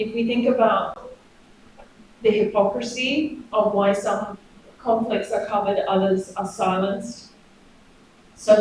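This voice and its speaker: Over noticeable background noise and audible room echo, a woman with an Australian accent speaks at a moderate pace in a medium pitch with fairly even intonation. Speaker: professor. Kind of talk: academic seminar discussion.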